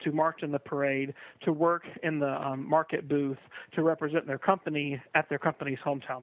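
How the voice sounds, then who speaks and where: Fairly high in pitch for a man, his unremarkable speaking voice keeps a fairly even intonation. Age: young. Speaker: pride festival director. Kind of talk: interview.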